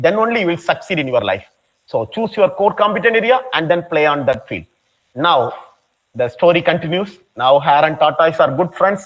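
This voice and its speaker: Speech at a moderate pace in a Tamil Nadu accent. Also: man. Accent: Tamil Indian English. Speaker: professor. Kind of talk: lecture.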